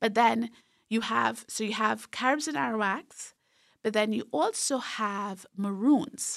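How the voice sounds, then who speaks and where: This woman's voice is fairly high in pitch, with ordinary pitch variation and vocal fry. The recording is very clean, with a silent background. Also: fairly slow pace. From Trinidad and Tobago, rural south Trinidad. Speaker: professor. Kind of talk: interview. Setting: studio.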